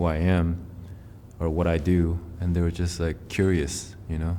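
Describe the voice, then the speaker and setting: A man's very deep, low voice carries a dark, mellow tone against audible room echo. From Taiwan, moved to North America at eight. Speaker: musician. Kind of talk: interview. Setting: filmed interview in a theatre venue. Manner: casual, filler-heavy.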